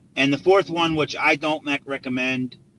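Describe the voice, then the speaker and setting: Recorded with a dry, close sound and no echo, a man speaks at a medium pitch amid noticeable background noise. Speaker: real estate investor. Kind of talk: live stream tips. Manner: fast; halting.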